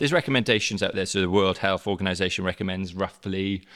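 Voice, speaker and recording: A man with a South Wales Valleys accent at a fairly quick pace, in a very clean recording with a silent background. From South Wales, the Valleys. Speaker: teacher, head of digital learning. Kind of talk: casual interview.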